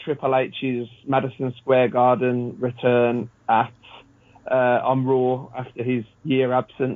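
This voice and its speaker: A man talks at a medium pitch. His delivery is monotone and flat, at a very slow pace. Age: 30s. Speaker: former wrestling referee. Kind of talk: casual chat.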